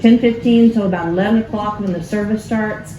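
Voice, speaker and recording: Amid noticeable background noise and audible room echo, a woman with an American accent talks in a fairly high pitch with ordinary pitch variation. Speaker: pastor. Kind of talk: cookery workshop announcements. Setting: church sanctuary with live audience.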